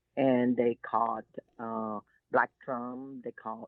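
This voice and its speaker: In a Texan accent, a woman speaks very slowly with a very deep, low voice. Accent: Texan Southern US. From US South, Texas Gulf Coast (Seadrift). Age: 70s. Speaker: shrimp boat captain and environmental activist. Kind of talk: interview.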